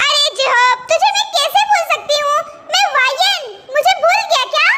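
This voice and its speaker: A woman's squeaky, extremely high put-on character voice at a moderate pace and very even loudness, over light background noise. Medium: fan dub. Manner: rough, brash street slang.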